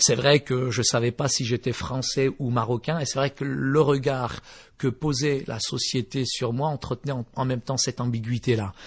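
Somewhat breathy, a man speaks at a moderate pace and a medium pitch with fairly even intonation. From eastern France (Vosges), born in Morocco. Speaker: pastor. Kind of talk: testimony. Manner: hesitant, many fillers.

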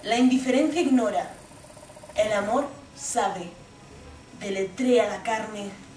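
A woman talks at a very slow pace with ordinary pitch variation, amid audible room echo and light background noise. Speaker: stage actress. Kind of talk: theatrical monologue. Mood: intense, passionate. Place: stage. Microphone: camera far.

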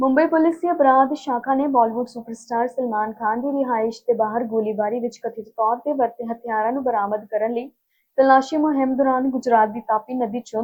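A normal speaking voice from a woman, fairly high in pitch, with ordinary pitch variation. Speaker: news anchor. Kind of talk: formal Punjabi news bulletin reading, headlines then detailed stories. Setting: studio. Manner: brisk, steady newsreader cadence running headlines together; formal, measured delivery of facts and figures.

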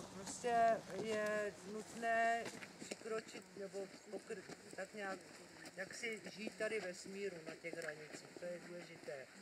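The speech goes at a very slow pace against noticeable background noise. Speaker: tour guide. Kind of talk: guided tour explanation. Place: open country.

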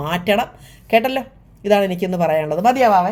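A woman with a plain, everyday voice talks at a medium pitch with ordinary pitch variation on a very clean recording with a silent background. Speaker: YouTube vlogger. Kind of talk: casual talk to camera.

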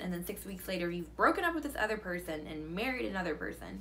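A woman with an American accent talks at a very fast pace and medium pitch amid noticeable background noise. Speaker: book vlogger. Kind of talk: casual video monologue.

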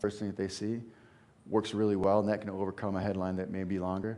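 Fairly low in pitch, this man uses a plain, everyday voice with fairly even intonation. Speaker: presenter. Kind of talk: lecture. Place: hall. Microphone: headset.

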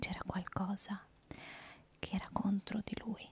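The pace is moderate. A woman talks with monotone, flat intonation. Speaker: storyteller. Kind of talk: storytelling narration. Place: home room. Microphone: handheld.

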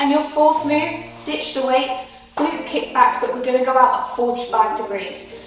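There is strong room echo and noticeable background noise. A woman with a high voice speaks at a moderate pace. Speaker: fitness instructor. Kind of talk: workout instruction. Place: gym.

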